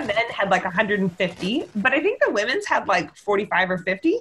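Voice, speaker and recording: A woman with a Canadian accent, fairly high in pitch and lively in intonation, at a fairly slow pace over noticeable background noise. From Victoria, western Canada. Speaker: squash writer. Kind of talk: casual chat.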